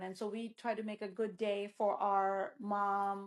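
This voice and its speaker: A woman talks at a medium pitch with fairly even intonation. It is an unremarkable speaking voice. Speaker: podcast host. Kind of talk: casual podcast conversation.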